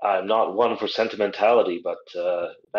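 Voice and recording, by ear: In a natural voice, someone reads the lines aloud.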